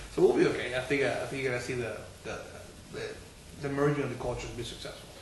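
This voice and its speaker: A man talks at a very fast pace with a slight non-native accent and big swings in loudness. There is noticeable background noise and audible room echo. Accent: slight foreign accent in English. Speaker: city council member, political candidate. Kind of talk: political discussion interview. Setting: bookstore.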